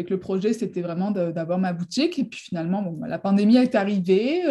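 At a moderate pace, a woman talks in a dark, mellow tone that is somewhat breathy, with lively intonation. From southern France, near Marseille. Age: 30s. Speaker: real estate broker. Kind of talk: interview.

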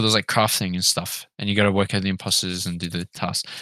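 A man with an Australian accent and a bright, sharp tone at a fairly quick pace, in a very clean recording with a silent background and a dry, close sound without echo. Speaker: podcast host. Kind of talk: casual chat. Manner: crude, joking.

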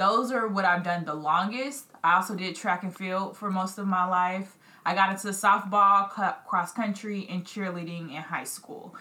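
A woman's bright, sharp voice at medium pitch, moderate in pace, with fairly even intonation and few pauses.

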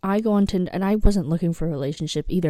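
This woman's voice has a fairly low pitch and a dark, mellow tone. Her pitch varies in an ordinary way. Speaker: podcast co-host. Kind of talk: casual chat. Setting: remote recording, hosts in different time zones. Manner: low-energy.

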